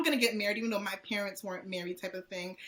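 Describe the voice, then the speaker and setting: A woman's voice over noticeable background noise. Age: 20s. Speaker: nurse and podcast co-host. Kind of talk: casual interview chat.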